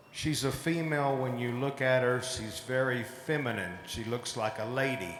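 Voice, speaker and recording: Speaking at medium pitch in an American accent, a man keeps a moderate pace and fairly even intonation, with audible room echo and noticeable background noise. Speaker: cattle show judge. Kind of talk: live show judging commentary.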